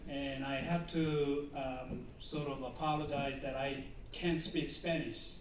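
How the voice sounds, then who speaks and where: In a Korean accent, a man speaks very slowly in a flat monotone at a fairly high pitch, with noticeable background noise and audible room echo. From South Korea. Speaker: professor. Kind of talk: lecture. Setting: conference stage with audience. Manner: hesitant, with many fillers.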